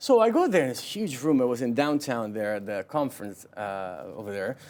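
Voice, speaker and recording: Lively intonation from a man at medium pitch and a fairly quick pace. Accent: Italian. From southern Italy (Naples). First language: Italian. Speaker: realtor. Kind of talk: interview.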